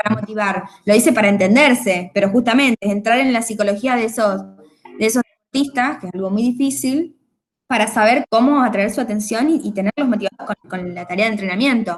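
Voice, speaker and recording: A woman speaks at a fairly quick pace in a fairly high pitch. Her voice is somewhat breathy. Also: ordinary pitch variation. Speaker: university lecturer. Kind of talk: online class lecture. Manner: fast.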